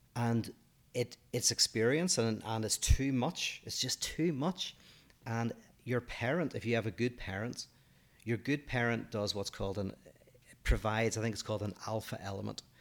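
A man speaks at a medium pitch and a moderate pace, with ordinary pitch variation, in a Northern Irish accent. The recording is very clean with a silent background. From Northern Ireland. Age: 40s. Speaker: podcast co-host, philosopher. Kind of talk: casual chat.

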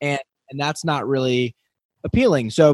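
An enthusiastic man at a moderate pace, in a dry, close sound with no echo. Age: young. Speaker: dentist and podcast host. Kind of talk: interview.

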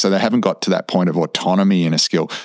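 A man with an Australian accent talks at a fairly quick pace in a very deep, low pitch. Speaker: podcast co-host, health professional. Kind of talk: podcast interview.

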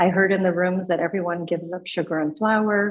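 An ordinary speaking voice with fairly even intonation at a moderate pace. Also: woman. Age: 50s. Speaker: twelve-step meeting member sharing recovery story. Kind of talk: testimony.

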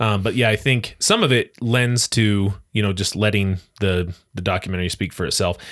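A man talks with a fairly low pitch. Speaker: podcast host, forensic psychotherapist. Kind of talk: casual reaction-video chat. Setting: video call. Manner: animated.

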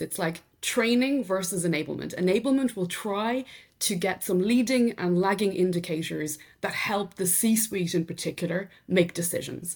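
Lively intonation marks this woman's somewhat breathy, medium-pitched voice, in an Irish accent at a moderate pace. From County Meath, Ireland. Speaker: sales enablement executive. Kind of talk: casual interview conversation.

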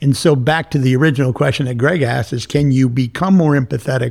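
Somewhat breathy, a man speaks in a fairly high voice with ordinary pitch variation. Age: 60s. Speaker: business leader. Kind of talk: interview. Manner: animated.

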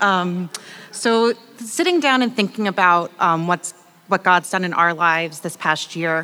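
Speaking at a fairly slow pace, a woman leaves long, frequent pauses. Her medium pitch shows ordinary variation, with noticeable background noise present. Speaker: church member sharing testimony. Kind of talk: reading aloud. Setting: church with audience.

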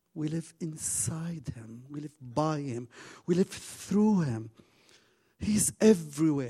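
Very slowly, a man with a non-native accent speaks in a dark, mellow tone with lively intonation. His voice is somewhat breathy. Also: big swings in loudness. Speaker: guest preacher. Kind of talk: sermon. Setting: church stage with audience. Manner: halting.

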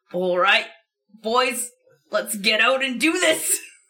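A woman puts on a gravelly character voice at a high pitch. She speaks fairly slowly, with lively intonation. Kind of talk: gruff commanding.

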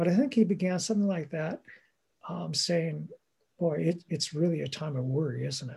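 A man's fairly high voice with a dark, mellow tone. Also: ordinary pitch variation, moderate pace. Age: 60s. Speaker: bishop. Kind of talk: interview. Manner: hesitant, filler-heavy.

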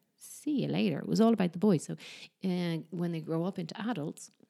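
A woman speaks with an Irish accent. Her voice has a fairly low pitch and a dark, mellow tone. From Ireland. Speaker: podcast host. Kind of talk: casual chat.

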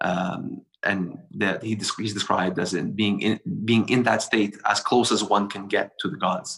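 A man with a fairly low pitch talks at a moderate pace, with hardly any pauses. He has an unremarkable speaking voice and fairly even intonation. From Montreal, Quebec, Canada. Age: 30s. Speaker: bonsai practitioner. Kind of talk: casual interview conversation.

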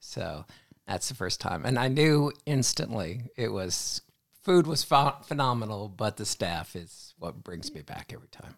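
A man talks at a fairly slow pace with vocal fry and very wide pitch swings. The recording is very clean, with a silent background. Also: medium pitch for a man, big swings in loudness. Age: 60s. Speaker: hospital pharmacist and mentor. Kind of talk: casual chat.

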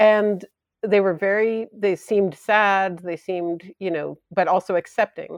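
Against a quiet background, a woman speaks at a fairly slow pace in an ordinary speaking voice, medium in pitch with fairly even intonation, the sound dry and close with no echo. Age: 40s. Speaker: painter and death doula. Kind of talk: interview.

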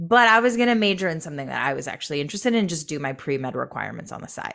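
Very wide pitch swings and vocal fry run through this voice with an American accent. The recording is very clean, with a silent background. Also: woman. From Michigan. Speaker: entrepreneur and educator. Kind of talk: interview.

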